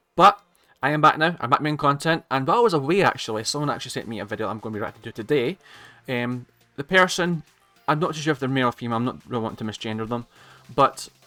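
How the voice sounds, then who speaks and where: With music in the background, a man talks at a very fast pace with lively intonation. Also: medium pitch for a man. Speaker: YouTube reaction creator. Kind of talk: casual reaction commentary. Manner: stuttering, hesitant.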